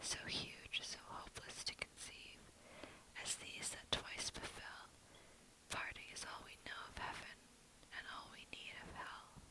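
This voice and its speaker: Someone whispers at a fairly slow pace, with long, frequent pauses. Noticeable background noise is present. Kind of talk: poetry reading. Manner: quiet, soft-spoken.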